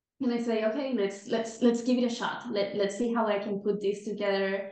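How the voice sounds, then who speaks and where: A woman speaks with a Spanish accent and fairly even intonation. The room echo is audible. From Venezuela, Caracas. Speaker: time management coach. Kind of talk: podcast interview. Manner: repeats words, slightly halting.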